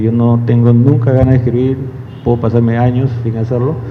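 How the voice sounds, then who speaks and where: A man speaks at a moderate pace with a medium pitch. There's noticeable background noise and audible room echo. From Peru, Lima. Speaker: journalist and newspaper editor. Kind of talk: public talk. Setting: live event with audience.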